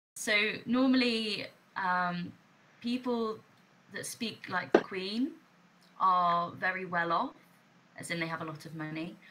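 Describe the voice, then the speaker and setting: A woman's medium-pitched, bright, sharp voice in a southern English accent, fairly slow, with long, frequent pauses, lively intonation and big swings in loudness. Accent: soft southern English. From southern England, Hampshire. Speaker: online English teacher. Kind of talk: casual chat.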